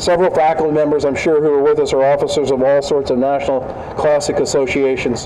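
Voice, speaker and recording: A man talks at a very fast pace in a flat monotone with very even loudness. Noticeable background noise and audible room echo are present. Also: fairly high pitch for a man. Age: 60s. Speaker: university administrator giving opening remarks. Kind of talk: ceremonial welcome speech. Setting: outdoors with audience. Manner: halting, repeats words.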